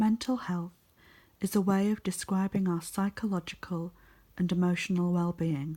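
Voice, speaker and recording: Whispering and soft-spoken at a fairly slow pace, the voice comes through in a very clean recording with a silent background. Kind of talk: ASMR reading. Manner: soft-spoken, whispering.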